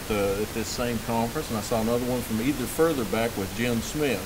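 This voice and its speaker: A man in a North Carolina accent at a medium pitch, with audible room echo and noticeable background noise. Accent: Southern US (North Carolina). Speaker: management consultant presenting at a conference. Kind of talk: conference presentation. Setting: conference with live audience. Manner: halting, many fillers.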